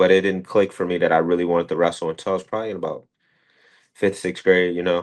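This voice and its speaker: Against a quiet background, a man with an American accent and a very deep, low pitch speaks at a very fast pace. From US Midwest, Cleveland area, Ohio. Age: 20s. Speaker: college wrestler. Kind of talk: podcast interview. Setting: studio. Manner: casual, many fillers.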